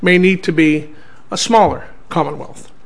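There is noticeable background noise as a man speaks at a fairly slow pace. His pitch variation is ordinary. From Canada. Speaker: senator and special envoy giving a public talk. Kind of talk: lecture.

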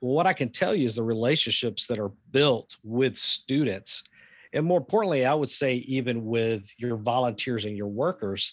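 Against a quiet background, a man with a Southern US accent talks at a moderate pace and medium pitch, with ordinary pitch variation. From US South. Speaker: pastor and ministry leader. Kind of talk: casual interview.

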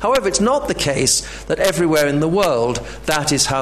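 A man's lively, expressive intonation at a moderate pace, against noticeable background noise. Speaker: professor. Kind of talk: lecture. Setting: stage with audience.

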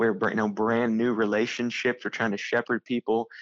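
An unremarkable speaking voice moves at a moderate pace. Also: man. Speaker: church planter and missionary. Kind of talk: casual interview.

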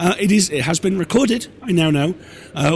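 A man with a British accent speaks with lively intonation over noticeable background noise. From Britain. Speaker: podcast network owner and host. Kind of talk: live Q&A session. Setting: stage with audience. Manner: halting.

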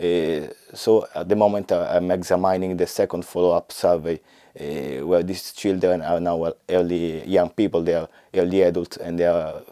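A man with an Italian accent speaks in a very deep, low voice with a dark, mellow tone and flat, monotone intonation. The recording is very clean, with a silent background. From Italy. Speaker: health economist researcher. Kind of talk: work profile interview. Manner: halting, many fillers.

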